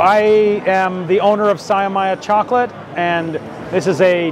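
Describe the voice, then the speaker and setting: With noticeable background noise, a man talks at a high pitch with fairly even intonation in a dry sound with no echo. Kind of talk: interview answer. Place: hall. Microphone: lapel.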